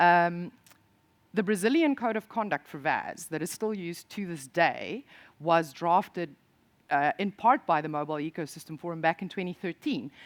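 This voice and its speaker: In a South African accent, a woman speaks at a moderate pace with lively intonation and a fairly low pitch. The recording is very clean with a silent background, and the sound is dry and close with no echo. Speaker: industry association programme director. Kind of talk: conference presentation. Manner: hesitant, with fillers and restarts.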